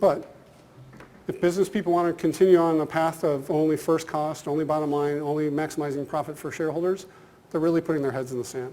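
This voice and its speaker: Very fast speech comes from a man with a fairly high voice. His intonation stays fairly even. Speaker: business school professor. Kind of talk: conference lecture. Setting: conference hall with audience.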